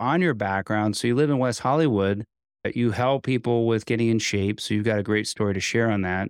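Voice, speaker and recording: A man with an ordinary speaking voice and fairly low pitch shows ordinary pitch variation, in a dry, close sound with no echo and a quiet background. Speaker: podcast host. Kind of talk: casual interview.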